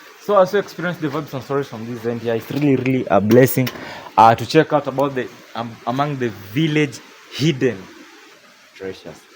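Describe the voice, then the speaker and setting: Against noticeable background noise, a man at a medium pitch talks at a fairly quick pace with lively intonation. His loudness swings widely, and he takes long, frequent pauses. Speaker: vlogger. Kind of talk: vlog walkthrough narration.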